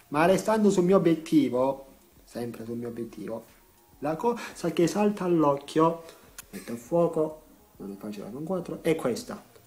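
Over noticeable background noise, a man with a fairly high pitch speaks with very wide pitch swings, big swings in loudness, and long, frequent pauses. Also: moderate pace. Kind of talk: casual talk to camera.

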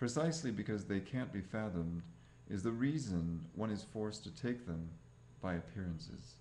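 Light background noise sits under the voice. The tone is dark and mellow. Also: man, fairly low pitch for a man. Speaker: reader of translated texts. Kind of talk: audiobook-style reading aloud of translated scripture. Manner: formal, even, deliberate. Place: home room. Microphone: webcam.

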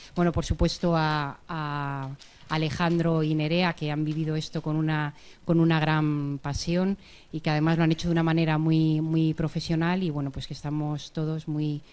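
A woman's very deep, low voice at a moderate pace, with monotone, flat intonation. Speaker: university professor. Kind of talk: short closing speech. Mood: warm, grateful. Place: hall. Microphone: handheld.

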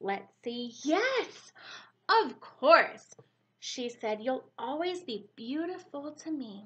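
Sing-song and warm, gentle in tone, a woman speaks at a very slow pace and high pitch, with very wide pitch swings and big swings in loudness. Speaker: preschool teacher. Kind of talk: bedtime story reading aloud to young children. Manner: warm, gentle, animated sing-song storybook voice; pauses to ask children questions, expressive and slow-paced. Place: home room. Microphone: webcam.

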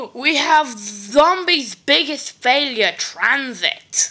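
A woman speaks in a raised, projected voice. Noticeable background noise sits behind her. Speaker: gaming YouTuber. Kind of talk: casual video commentary. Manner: hesitant, many fillers.

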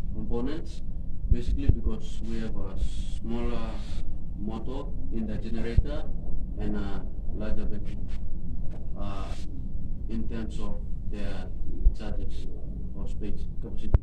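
A man speaks at a moderate pace over loud background noise. He leaves long, frequent pauses. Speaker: presenter. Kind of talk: explanation of a project. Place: home room. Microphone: phone near.

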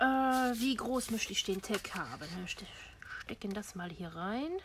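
Over light background noise, a woman speaks at a very slow pace in a high voice with very wide pitch swings. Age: old. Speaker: crafting YouTuber. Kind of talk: tutorial. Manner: casual with frequent fillers. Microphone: camera far.

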